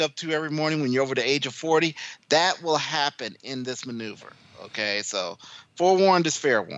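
Speaking in a fairly high pitch, a man sounds animated, with lively intonation. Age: 40s. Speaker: MMA podcast co-host. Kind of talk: casual chat about combat sports.

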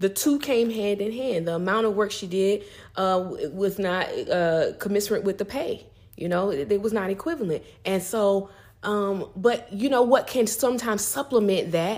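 This is an ordinary speaking voice whose pitch varies in an ordinary way, moving at a moderate pace. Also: woman, medium pitch for a woman. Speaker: guest co-speaker. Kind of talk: casual advice talk.

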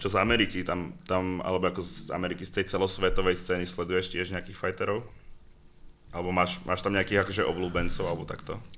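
Speaking very fast, a man with a very deep, low voice keeps a flat monotone in a bright, sharp tone. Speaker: podcast host. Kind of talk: casual interview.

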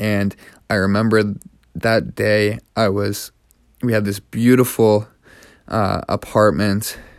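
In a Canadian accent, a man speaks very slowly in a fairly low, flat monotone with long, frequent pauses on a very clean recording with a silent background. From Canada. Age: 20s. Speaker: podcast host. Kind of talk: personal monologue.

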